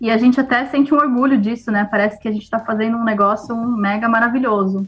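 A woman speaks in a normal speaking voice at a fairly quick pace, her fairly high pitch held in fairly even intonation. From Brazil, São Paulo. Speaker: integrative therapist, agronomist. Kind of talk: casual interview chat.

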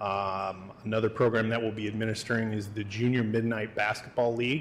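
A man speaks at a fairly quick pace and a medium pitch. His intonation stays fairly even. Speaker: police chief. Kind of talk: staff presentation. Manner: halting, many fillers.

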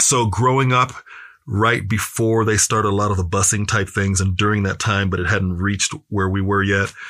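A man with an American accent has a fairly low pitch and a bright, sharp tone. His intonation is fairly even, his loudness very even, and the recording very clean with a silent background. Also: moderate pace. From US Midwest, Kansas City. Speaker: speaker and activist. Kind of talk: interview conversation.

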